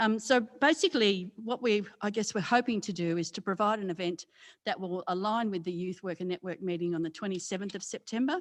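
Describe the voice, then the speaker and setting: At a fairly quick pace, a woman with an Australian accent speaks at a medium pitch over a quiet background. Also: ordinary pitch variation. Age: 60s. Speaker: community development coordinator. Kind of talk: presentation to a committee. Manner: loud; halting, many fillers.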